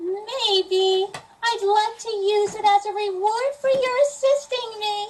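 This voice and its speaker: Putting on a squeaky character voice, a woman speaks at an extremely high pitch and a fairly slow pace with ordinary pitch variation. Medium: stage play. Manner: stilted, oddly formal.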